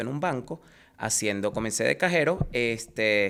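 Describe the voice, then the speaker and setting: With a Venezuelan accent, a man speaks at medium pitch with ordinary pitch variation on a very clean recording with a silent background. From Venezuela, Caracas. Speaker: insurance agent. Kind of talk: interview.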